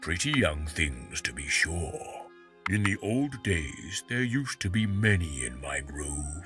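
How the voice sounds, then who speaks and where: Over clear background music, a man does a put-on character voice at a fairly slow pace, pitched very deep and low. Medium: machinima. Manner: archaic, slow.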